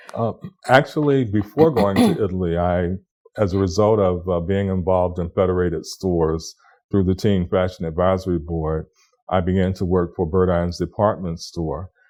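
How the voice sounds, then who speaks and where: A man with an American accent, very deep, low pitch and a dark, mellow tone, at a moderate pace with ordinary pitch variation. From Florida, USA. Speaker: cultural heritage leader. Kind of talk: oral history interview answer.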